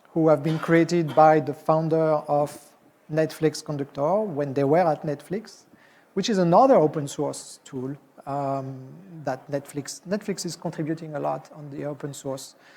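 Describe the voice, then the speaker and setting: Speaking with a French accent, a man uses a fairly high pitch and a dark, mellow tone at a moderate pace. His intonation stays fairly even while his loudness swings widely, over light background noise. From France. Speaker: software executive and conference speaker; conference presenter. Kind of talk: conference talk. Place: hall.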